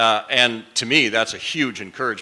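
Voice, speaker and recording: A man with a Minnesotan accent speaks in a bright, sharp tone. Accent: Minnesota. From US Midwest, Minnesota. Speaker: business executive on a panel. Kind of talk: panel discussion. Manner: repetitive false starts.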